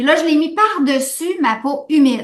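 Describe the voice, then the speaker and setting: A woman with a Quebec accent at a fairly slow pace. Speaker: natural skincare brand co-owner. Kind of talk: live stream product chat.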